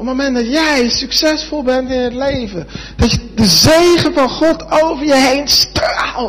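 An extremely high-pitched man at a fairly slow pace, with ordinary pitch variation, noticeable background noise and audible room echo. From Netherlands. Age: 20s. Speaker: preacher. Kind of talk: sermon.

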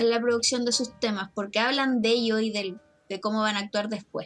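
A woman with a Chilean accent talks at a fairly quick pace. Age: 30s. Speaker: teacher and podcaster. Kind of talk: casual chat.

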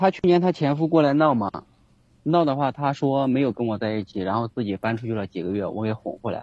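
At a very fast pace, a man speaks in a medium pitch with lively intonation. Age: 30s. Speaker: caller seeking relationship advice. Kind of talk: call-in advice conversation.

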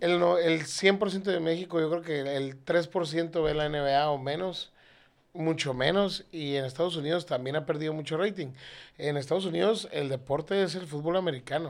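With a plain, everyday voice, a man talks at a moderate pace in a fairly high pitch and fairly even intonation. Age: 30s. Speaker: air conditioning parts seller. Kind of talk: casual chat.

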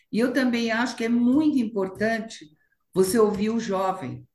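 Moderately paced speech from a woman, somewhat breathy and fairly high in pitch. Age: 70s. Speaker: fashion and retail entrepreneur. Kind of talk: interview. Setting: video call.

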